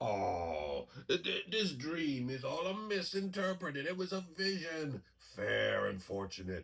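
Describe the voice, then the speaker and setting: Using a cartoonish character voice, a man talks at a fairly slow pace with a fairly high pitch. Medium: puppet show. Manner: hesitant, laughing, flattering.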